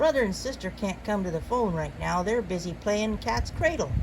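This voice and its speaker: A woman uses a put-on character voice at a medium pitch over loud background noise. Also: moderate pace. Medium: read story. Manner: folksy, forceful, dropping g's.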